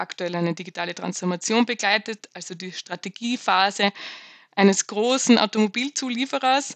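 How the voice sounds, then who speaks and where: In a dry, close sound with no echo, a woman with a normal speaking voice talks at a moderate pace with ordinary pitch variation. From Austria. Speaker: management consultant. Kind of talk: interview.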